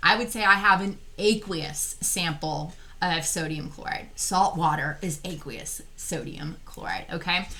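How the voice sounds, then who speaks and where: Speaking at a fairly slow pace with hardly any pauses, a woman with an American accent uses an animated tone, ordinary pitch variation and big swings in loudness, with audible room echo and noticeable background noise. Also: medium pitch for a woman. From Texas. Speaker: chemistry teacher. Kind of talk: lecture.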